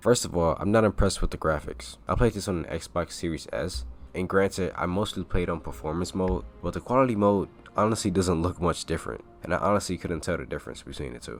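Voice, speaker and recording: Over music in the background, a man talks in a very deep, low pitch. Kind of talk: video game review. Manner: casual.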